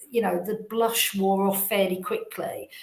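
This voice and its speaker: There is noticeable background noise. A woman speaks with monotone, flat intonation. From England, London. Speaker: recruitment business owner. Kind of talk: interview.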